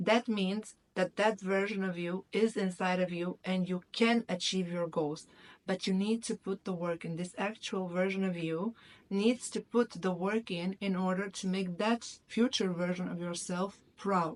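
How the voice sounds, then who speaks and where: With a non-native accent, a woman speaks at a fairly slow pace and a medium pitch, her intonation fairly even. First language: not English. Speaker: YouTuber, self-development. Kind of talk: motivational talk to camera. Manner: halting, with some stumbles.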